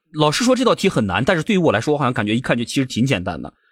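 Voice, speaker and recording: The sound is dry and close, with no echo. Pitch swings very widely, and vocal fry comes through. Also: man, very clean recording, silent background. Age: 30s. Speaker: podcast co-host. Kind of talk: casual chat.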